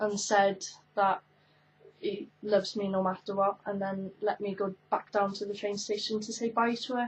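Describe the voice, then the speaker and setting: With a Welsh accent, a woman speaks at a medium pitch and moderate pace in a somewhat breathy, monotone, flat intonation. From Wales, Carmarthen. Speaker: YouTuber. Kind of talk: casual chat. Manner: hesitant, many fillers.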